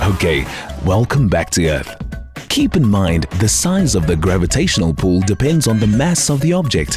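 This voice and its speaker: A man at a fairly low pitch with very wide pitch swings, moderate in pace, with music in the background. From South Africa. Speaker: voice actor. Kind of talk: corporate training narration.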